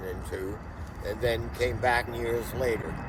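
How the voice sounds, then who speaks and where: A man talks fairly slowly, with audible room echo and noticeable background noise around him. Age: 80s+. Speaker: veteran hash runner interviewed. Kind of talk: casual interview chat. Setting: on location in Portugal, sunny.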